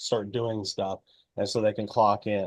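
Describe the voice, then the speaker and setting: A man talks at a moderate pace. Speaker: ag-tech product presenter. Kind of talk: webinar product demo. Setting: online webinar. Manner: hesitant, many fillers.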